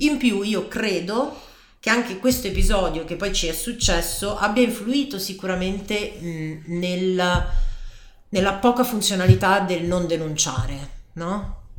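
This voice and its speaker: Noticeable background noise and audible room echo surround speech delivered at a fairly slow pace with ordinary pitch variation. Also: woman, medium pitch for a woman. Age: 30s. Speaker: life coach. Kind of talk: personal testimony.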